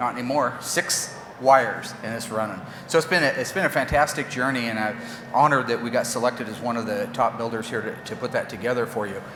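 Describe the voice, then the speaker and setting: A man speaks very fast at a medium pitch with ordinary pitch variation, over noticeable background noise and audible room echo. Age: 50s. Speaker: car builder. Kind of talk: press conference. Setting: stage with audience. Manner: animated.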